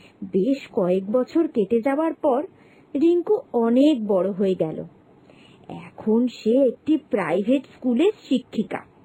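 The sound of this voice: A woman's fairly high voice with a dark, mellow tone, a slightly husky edge, lively intonation and a fairly slow pace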